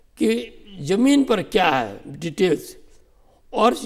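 The background is quiet as a man speaks. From Uttarakhand, Garhwal (Tehri Garhwal); Uttarakhand. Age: 70s. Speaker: retired civil servant; guest. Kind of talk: interview. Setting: studio. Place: studio. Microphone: lapel.

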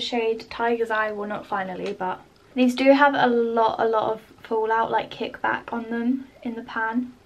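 The speaker talks in a flat monotone with a British accent. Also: woman. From UK. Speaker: beauty YouTuber. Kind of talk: makeup tutorial vlog. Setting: home, filming at her desk under lamp light. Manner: casual and chatty. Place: home room.

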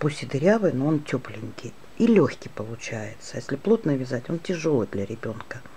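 This woman has a very deep, low pitch. Her pitch swings very widely. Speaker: crochet teacher. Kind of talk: tutorial. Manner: slow.

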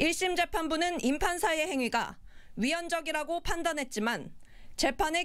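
At a moderate pace, a woman talks in a high pitch. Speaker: news reporter. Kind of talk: news report.

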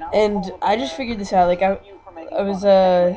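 A woman is heard speaking against noticeable background noise. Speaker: YouTuber. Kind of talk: screen recording tutorial. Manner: casual, halting.

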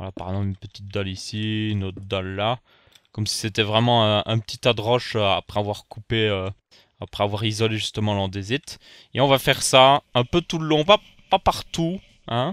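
Here is an ordinary speaking voice: a man at a fairly low pitch, moving at a fairly quick pace. His pitch varies normally, and the sound is dry and close with no echo. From Belgium. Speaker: gaming YouTuber. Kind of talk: Minecraft let's play commentary.

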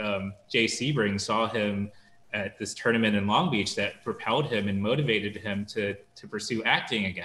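A man's bright, sharp tone at a moderate pace, with audible room echo. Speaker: documentary film director. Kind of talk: panel interview. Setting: video call. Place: home room. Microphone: video call.

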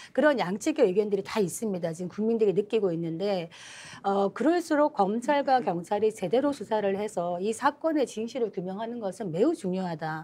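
Her dark, mellow tone carries lively intonation as the woman speaks. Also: fairly quick pace. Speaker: talk show panelist. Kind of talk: political panel discussion. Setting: studio, live broadcast. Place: studio.

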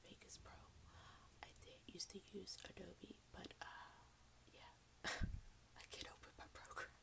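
A woman whispers at a moderate pace. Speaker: ASMR content creator. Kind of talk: casual talk to camera.

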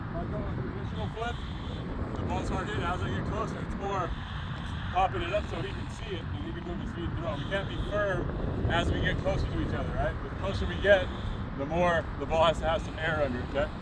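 The speech comes at a very fast pace over loud background noise, the sound dry with no echo. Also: man. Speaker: baseball coach. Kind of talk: coaching instruction. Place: stadium.

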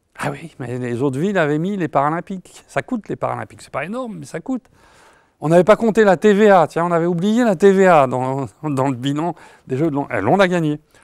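A man speaks in a high voice with lively intonation and big swings in loudness. The sound is dry with no echo, over a quiet background. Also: fairly quick pace. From France. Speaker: economist, professor emeritus; professor emeritus. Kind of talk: interview. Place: studio. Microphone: lapel.

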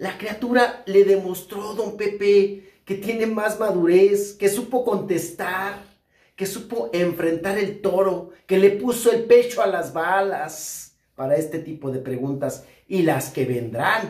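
Audible room echo surrounds a man against a quiet background. His pace is very slow. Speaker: entertainment news commentator. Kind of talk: commentary. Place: home room.

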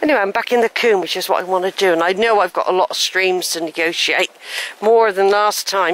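A woman at a fairly quick pace, medium pitch and fairly bright tone, ordinary pitch variation, dry, close sound with no echo

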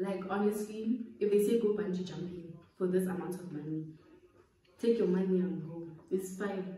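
Woman's medium-pitched voice at a moderate pace with fairly even intonation, audible room echo and light background noise. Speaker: YouTuber. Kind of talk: casual chat. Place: home room. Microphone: phone near.

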